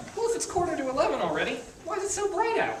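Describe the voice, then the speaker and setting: A squeaky put-on character voice at an extremely high pitch races along at a very fast pace, with slight echo and clear background noise. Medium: stage play. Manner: dry, deadpan.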